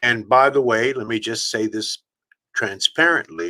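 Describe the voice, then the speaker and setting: A man speaks at a very slow pace. His tone is bright and sharp. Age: 70s. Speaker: motivational speaker. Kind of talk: interview. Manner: animated.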